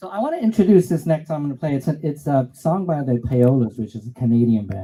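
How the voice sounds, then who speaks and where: At a very fast pace, a man speaks in a fairly high, somewhat breathy voice with a dark, mellow tone and very wide pitch swings. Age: 60s. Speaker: musician performer. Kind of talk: song introduction.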